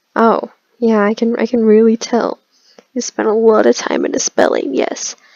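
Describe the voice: A quiet background behind plain reading aloud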